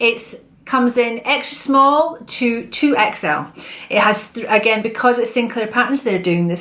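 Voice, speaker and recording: Noticeable background noise sits under moderate-paced speech in a Scottish accent. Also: woman. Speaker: sewing vlogger. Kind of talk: casual chat.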